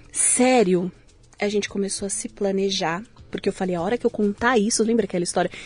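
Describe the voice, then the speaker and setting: A woman's normal speaking voice, medium in pitch, fairly even in intonation and fairly quick in pace. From São Paulo city, Brazil. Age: 40s. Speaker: tech company CEO, entrepreneur. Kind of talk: interview conversation.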